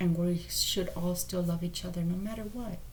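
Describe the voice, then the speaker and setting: A quiet woman with an American accent speaks at a fairly slow pace with audible room echo. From Texas, San Antonio. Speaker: tarot reader. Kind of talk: tarot reading monologue. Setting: motel room. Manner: quiet, speaking low.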